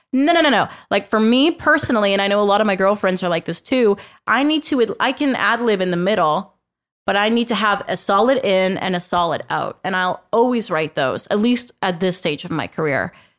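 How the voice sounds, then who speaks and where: Using lively intonation, a woman with a western Canadian accent speaks at a fairly quick pace and a medium pitch. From western Canada, Fraser Valley. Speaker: country radio host. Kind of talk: casual chat. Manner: energetic, animated.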